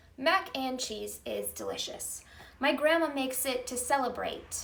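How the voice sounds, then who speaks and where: The tone is upbeat, with ordinary pitch variation. Background noise is noticeable. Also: woman. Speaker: poetry teacher. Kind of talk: improvised spoken word poem. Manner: upbeat, encouraging.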